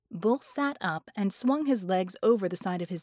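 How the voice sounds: The voice reads naturally, as if from a page. Its intonation moves in a lively way.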